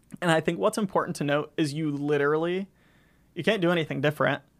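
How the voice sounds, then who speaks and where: A man's fairly high-pitched, ordinary speaking voice with fairly even intonation, on a very clean recording with a silent background. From US South, Florida Panhandle (Gulf Breeze). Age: 20s. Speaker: student government leader. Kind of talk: casual interview chat.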